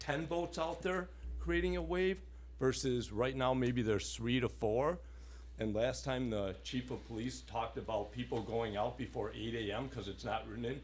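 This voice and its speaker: Room echo can be heard around the man. He keeps a moderate pace. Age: 60s. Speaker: resident speaking at public comment. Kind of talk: public comment at town board meeting. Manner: animated.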